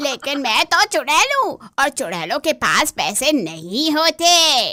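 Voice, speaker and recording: This female-sounding voice is a cartoonish character voice with a high pitch. It moves at a very slow pace. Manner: blunt, odd, deadpan.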